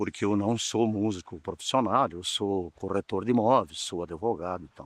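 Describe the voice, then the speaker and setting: A man's ordinary speaking voice at a fairly low pitch, with ordinary pitch variation, big swings in loudness and a moderate pace. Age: 60s. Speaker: real estate agent and lawyer, amateur musician. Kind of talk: documentary interview.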